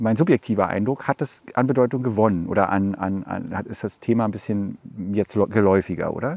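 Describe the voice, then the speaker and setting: The speaker is a man. He talks at a moderate pace. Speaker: podcast host. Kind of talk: casual interview. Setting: outdoors in front of a cultural hall.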